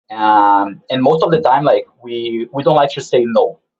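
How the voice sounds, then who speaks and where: A man talks with a non-native accent. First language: not English. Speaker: game publisher. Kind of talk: online talk with Q&A. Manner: halting, many fillers and repeats.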